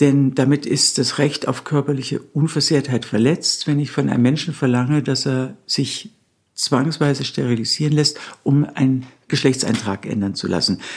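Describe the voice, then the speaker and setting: With ordinary pitch variation, a woman talks in a very deep, low register. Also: moderate pace. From Bavaria, Nuremberg. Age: 60s. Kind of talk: interview.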